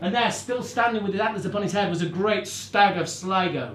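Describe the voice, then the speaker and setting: A man's voice over noticeable background noise. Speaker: storyteller, narrator and musician. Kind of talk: live storytelling to an audience.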